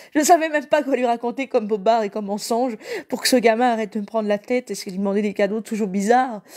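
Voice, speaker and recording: A woman with a fairly high voice talks at a very fast pace with ordinary pitch variation, in a dry, close sound with no echo. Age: 30s. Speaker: evangelical live preacher. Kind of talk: live Bible teaching; personal testimony. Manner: halting.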